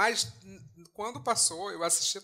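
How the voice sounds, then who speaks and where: A man's tone is bright and sharp, with ordinary pitch variation. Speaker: podcast co-host. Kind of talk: casual chat. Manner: animated.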